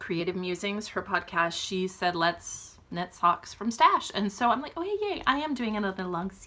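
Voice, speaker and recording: A woman whispering at a fairly slow pace. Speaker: knitting vlogger. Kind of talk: casual chat. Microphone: poor audio.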